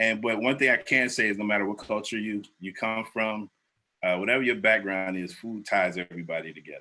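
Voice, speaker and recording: A man with an American accent talks at a fairly quick pace in a fairly low pitch, his tone bright and sharp. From Ohio, Cleveland. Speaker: food reviewer. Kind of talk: casual interview.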